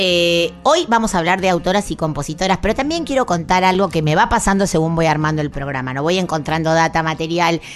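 With an Argentine accent, a woman speaks at a fairly quick pace with hardly any pauses, her pitch fairly low with ordinary variation, over noticeable background noise. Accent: Rioplatense Argentine Spanish. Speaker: radio host. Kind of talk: radio music program chat and interview. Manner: warm, conversational.

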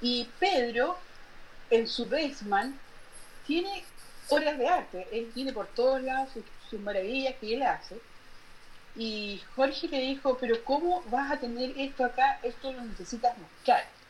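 Over noticeable background noise, a woman with a high pitch speaks at a fairly slow pace, with long, frequent pauses. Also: lively intonation. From northern Chile. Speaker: painter. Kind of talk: interview.

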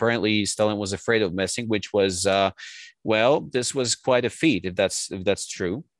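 In a dry, close sound with no echo and a quiet background, a man with a Polish accent speaks at a moderate pace and a fairly low pitch. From Poland. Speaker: translator and writer. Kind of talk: interview.

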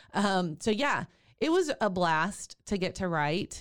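A woman speaks in a Texan accent with an animated tone. Her intonation is lively. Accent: Texan Southern US. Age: 50s. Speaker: doula and podcast host. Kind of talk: casual interview chat. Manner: animated, laughs often.

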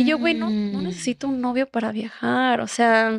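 A woman with a Mexican accent speaks at a moderate pace in a dry, close sound with no echo, on a very clean recording with a silent background. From Mexico, Puerto Vallarta (Jalisco). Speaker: travel content creator. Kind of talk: casual chat.

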